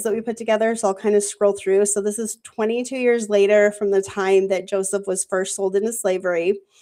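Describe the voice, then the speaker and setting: Speaking at a moderate pace, a woman with a fairly high pitch and a dark, mellow tone keeps a monotone, flat intonation. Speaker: scripture study panel host. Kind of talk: live panel bible study discussion. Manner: casual, filler-heavy.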